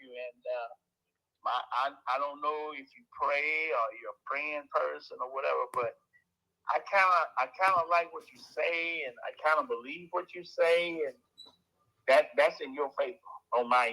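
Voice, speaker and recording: This man talks at a moderate pace. His loudness rises and falls in big swings. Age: 60s. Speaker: home seller on a sales call. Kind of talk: phone negotiation.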